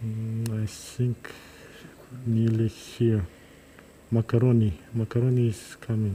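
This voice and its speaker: A man's medium-pitched, somewhat breathy voice with a dark, mellow tone and a Kazakh accent, monotone and flat, at a fairly slow pace broken by long, frequent pauses. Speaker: neurosurgeon. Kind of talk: live surgical commentary. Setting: operating room, livestream. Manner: halting.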